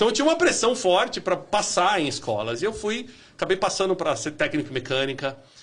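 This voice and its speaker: A man speaks in a high voice at a fairly quick pace. His pitch swings very widely. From Minas Gerais, Brazil (zona da mata), moved to São Paulo at 10. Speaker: business executive. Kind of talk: podcast interview.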